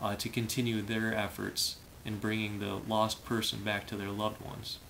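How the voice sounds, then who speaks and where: A man with an American accent speaks at a fairly low pitch over light background noise. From Michigan. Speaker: diver and former firefighter. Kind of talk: casual vlog monologue. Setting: home room, filmed video. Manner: hesitant, many fillers. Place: home room. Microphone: phone near.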